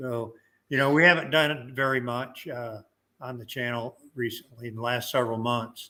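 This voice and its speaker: With an American accent and a bright, sharp tone, the speaker keeps fairly even intonation at a moderate pace but shows big swings in loudness. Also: man, medium pitch for a man. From Michigan, US. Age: old. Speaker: YouTuber. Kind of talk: casual chat. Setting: livestream.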